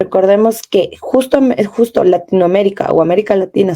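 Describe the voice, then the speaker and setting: A woman's dark, mellow tone at medium pitch, with ordinary pitch variation and a moderate pace. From Ecuadorian Amazon, Kichwa community. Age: 20s. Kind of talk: panel discussion interview.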